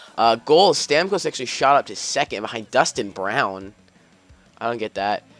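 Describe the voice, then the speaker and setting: Over music in the background, a man talks at a fairly quick pace in a dry, close sound with no echo. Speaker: gaming YouTuber. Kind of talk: gameplay commentary. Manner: fast; upbeat.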